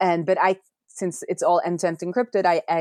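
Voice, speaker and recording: A woman speaks with a Norwegian accent at a fairly low pitch. The sound is dry and close, with no echo. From Norway. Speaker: software developer and indie app maker. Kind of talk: podcast interview.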